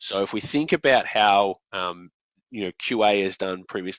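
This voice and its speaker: This man's voice sits fairly low, and he talks at a moderate pace. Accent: Australian. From Australia. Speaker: software company founder and presenter. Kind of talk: conference presentation. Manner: hesitant, many fillers.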